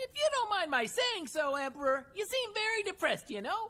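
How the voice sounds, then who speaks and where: A woman does a cartoonish character voice that is squeaky and extremely high in pitch. She talks at a fairly quick pace with very wide pitch swings. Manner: ends sentences with "you know?".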